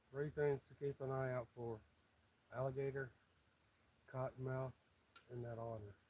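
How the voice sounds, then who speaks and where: A man's somewhat breathy, dark, mellow voice in a Southern US accent, monotone and flat, at a moderate pace. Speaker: fishing livestreamer. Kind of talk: live stream chat while fishing.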